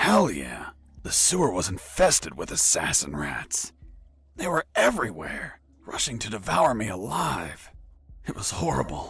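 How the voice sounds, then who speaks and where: Using a put-on character voice, a man speaks at a fairly low pitch and a moderate pace. His pitch swings very widely. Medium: video game. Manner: deadpan, sardonic.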